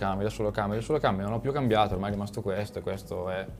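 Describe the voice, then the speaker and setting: A man speaks at a very fast pace with a fairly low pitch. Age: 20s. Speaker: YouTube motorcycle content creator. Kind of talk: casual chat.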